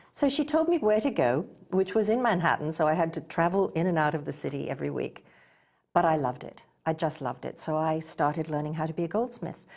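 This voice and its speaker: Talking at a very fast pace with lively intonation, a woman with an English accent uses a fairly low pitch, captured in a very clean recording with a silent background. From England. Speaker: goldsmith and spa owner. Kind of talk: interview.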